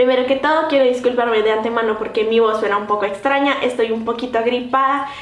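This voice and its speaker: Talking at a very fast pace with hardly any pauses, a woman with a high voice keeps her intonation fairly even amid noticeable background noise and audible room echo. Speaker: vlogger. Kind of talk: vlog.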